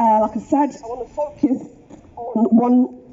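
A woman with a high pitch speaks at a moderate pace, her intonation lively. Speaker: street preacher. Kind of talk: street preaching sermon. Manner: earnest, conversational. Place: street.

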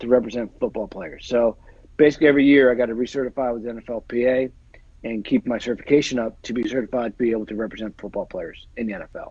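A man with an American accent speaks at a very fast pace and medium pitch, with a dry sound, no echo, and a quiet background. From New Jersey. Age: 40s. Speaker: NFL agent and actor; actor. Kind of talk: casual chat. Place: home room. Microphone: earbuds.

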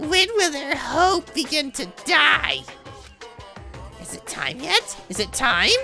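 A woman puts on a cartoonish character voice at a high pitch and a fairly slow pace. Clear music plays in the background. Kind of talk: cartoon villain. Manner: gleeful, mocking, theatrical.

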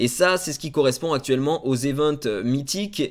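A man talks at a moderate pace in a fairly high voice with ordinary pitch variation. The background is quiet. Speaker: gaming YouTuber; gaming content creator. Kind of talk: game news video. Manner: hesitant, many fillers. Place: home room.

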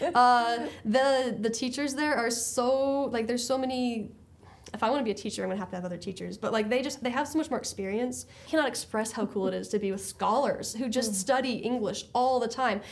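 A woman with a fairly high voice talks at a fairly quick pace in an animated tone, her pitch varying in an ordinary way. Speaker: high school English teacher. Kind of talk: interview. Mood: warm, reflective.

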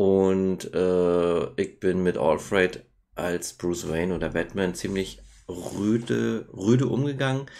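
A man's very deep, low voice with a dark, mellow tone, lively intonation and a very slow pace. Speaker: vlogger and Twitch streamer; vlogger, Twitch streamer. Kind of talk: casual vlog monologue. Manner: casual with many filler sounds. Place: home room. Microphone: webcam.

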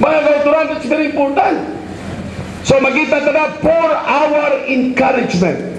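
A man with an extremely high pitch talks in an animated tone at a fairly slow pace, with light background noise and audible room echo. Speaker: preacher. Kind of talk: sermon. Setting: church. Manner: animated, rhetorical, seeking congregation responses with 'Amen?'; code-switching between English and Tagalog/Hiligaynon. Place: church. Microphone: handheld.

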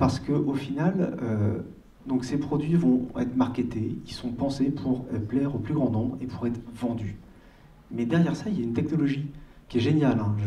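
In a room with audible echo, a man of medium pitch speaks at a moderate pace in a dark, mellow, somewhat breathy tone with ordinary pitch variation. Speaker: audience member. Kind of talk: audience question. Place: hall.

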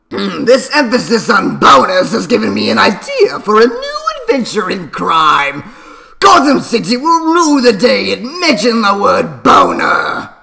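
A put-on character voice with a theatrical tone. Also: man, extremely high pitch for a man, moderate pace. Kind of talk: comic overacting. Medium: solo performance. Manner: gloating, theatrical villain.

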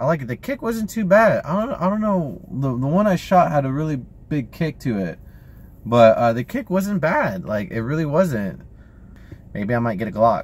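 A man with an American accent at a moderate pace, fairly high in pitch and somewhat breathy, with very wide pitch swings and a dry sound with no echo. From Texas. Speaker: YouTuber vlogger. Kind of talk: casual vlog. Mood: relaxed, sometimes irritated. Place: car. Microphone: phone near.

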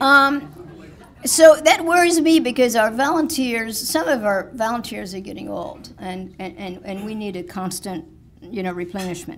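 Speaking at a moderate pace, a woman with a fairly high pitch makes very wide pitch swings and big swings in loudness over light background noise. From France. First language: French. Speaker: village president. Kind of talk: speech. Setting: stage with audience. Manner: halting. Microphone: podium.

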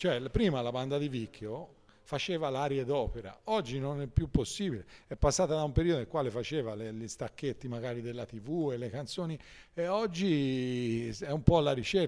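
With lively intonation and a moderate pace, a man talks over a quiet background. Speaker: marching band musician; guest. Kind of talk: casual radio interview. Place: shop.

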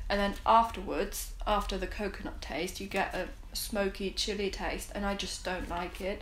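Talking at a moderate pace, a woman is heard with audible room echo. Light background noise is present. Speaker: food reviewer. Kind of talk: casual review vlog chat. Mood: relaxed, friendly. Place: home room.

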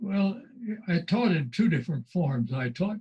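The man's voice is somewhat breathy against a quiet background. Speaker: writer and former journalist. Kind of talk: interview. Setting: video call. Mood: reminiscing, fond. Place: home room. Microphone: video call.

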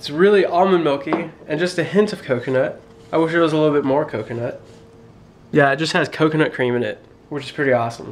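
A man rattles along at a very fast pace with ordinary pitch variation, light background noise behind him. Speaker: vlogger. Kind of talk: casual vlog chat.

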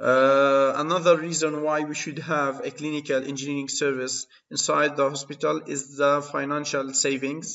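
Delivered at a moderate pace with hardly any pauses, the speech is monotone, with flat intonation. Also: man, fairly high pitch for a man. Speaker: university lecturer in biomedical engineering. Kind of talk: lecture. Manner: hesitant, frequent filler sounds.

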